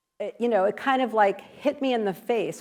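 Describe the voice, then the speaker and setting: A woman with an unremarkable speaking voice. Her pitch sits fairly high and varies in an ordinary way. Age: 60s. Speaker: author and speaker on people-pleasing. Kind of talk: interactive talk / workshop presentation. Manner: conversational, with many fillers.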